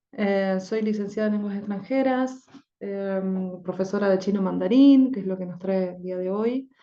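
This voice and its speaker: Delivered at a fairly slow pace, the voice has a dark, mellow tone and fairly even intonation. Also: woman. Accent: Argentine. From Argentina. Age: 30s. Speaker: language teacher. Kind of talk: lecture. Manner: halting, with frequent fillers.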